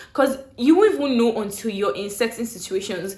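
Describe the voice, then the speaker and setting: A woman speaks at a fairly quick pace with lively intonation and a Nigerian accent, over noticeable background noise. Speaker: YouTuber. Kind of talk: casual storytelling vlog. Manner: clear; animated.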